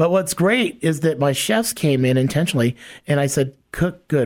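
A man with a plain, everyday voice speaks at a moderate pace with lively intonation, on a very clean recording with a silent background. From Hawaii, then Los Angeles from age twelve. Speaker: homeless shelter CEO. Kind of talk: casual interview.

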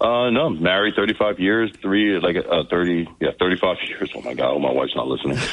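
With noticeable background noise, a man with an American accent talks at a moderate pace in a fairly low pitch and with lively intonation. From New Jersey, US. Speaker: congressional candidate. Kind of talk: radio interview.

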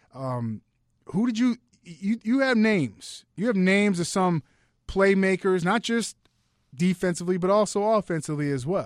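A man with a high pitch and lively intonation speaks at a moderate pace in a dry, close recording with no echo and a very clean, silent background. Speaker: radio sports podcast host. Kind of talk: casual sports talk. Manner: animated, conversational.

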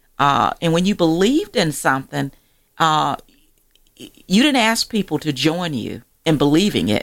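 A woman with an American accent, fairly low pitch, vocal fry, very wide pitch swings, a moderate pace and long, frequent pauses. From Georgia, US South (rural area near Augusta). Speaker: magazine publisher and author. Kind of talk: radio interview.

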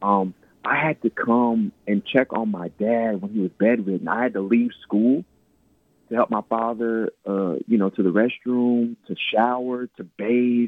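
A man has an ordinary speaking voice at a medium pitch. His intonation is fairly even, and his pace fairly slow. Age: 30s. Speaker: inspirational speaker and author. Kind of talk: radio interview. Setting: phone or remote line.

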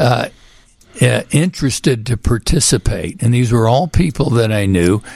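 A man's somewhat breathy, medium-pitched voice with an American accent, very even loudness and lively intonation. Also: moderate pace. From Texas, Houston. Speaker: physician and author. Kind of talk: radio interview. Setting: studio.

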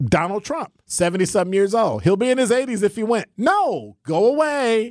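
With an American accent, a man speaks at a moderate pace in a very clean recording with a silent background and a dry, close sound with no echo. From US Midwest. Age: 60s. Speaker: radio talk show co-host. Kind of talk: talk radio conversation. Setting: studio.

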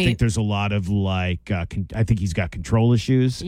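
Here a man speaks at a fairly low pitch and a moderate pace. Noticeable background noise sits behind him. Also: ordinary pitch variation. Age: 40s. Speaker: radio host at classic rock station. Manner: casual, conversational.

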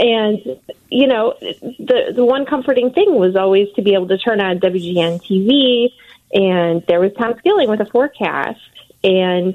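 Using a normal speaking voice, a woman talks fairly slowly with lively intonation in a fairly high pitch. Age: 40s. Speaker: newspaper journalist. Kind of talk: casual chat.

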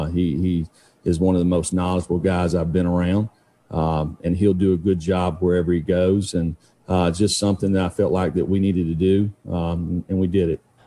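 In an East Tennessee accent, a man with a very deep, low pitch speaks at a moderate pace, his intonation monotone and flat and his loudness very even. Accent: Southern US (East Tennessee). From Chattanooga area, Tennessee-Georgia border. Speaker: fill-in sports radio host. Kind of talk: sports talk radio. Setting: radio studio.

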